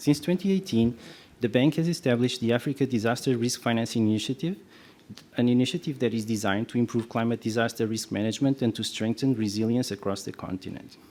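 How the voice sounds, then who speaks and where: A soft-spoken man with a medium pitch and dark, mellow tone, talking at a very fast pace with ordinary pitch variation, in a very clean recording with a silent background. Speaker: development bank representative. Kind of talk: prepared panel statement. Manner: halting.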